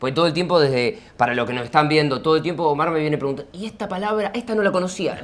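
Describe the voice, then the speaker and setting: A man talks with an Argentine accent. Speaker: interviewer, video creator. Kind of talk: casual interview chat.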